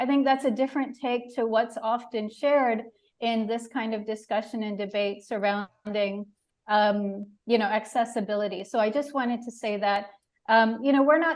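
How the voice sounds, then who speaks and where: With an American accent, a woman has an ordinary speaking voice, fairly high in pitch, delivered at a moderate pace with fairly even intonation. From United States. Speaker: animal rights advocate and author. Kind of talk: panel discussion. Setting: literature festival panel.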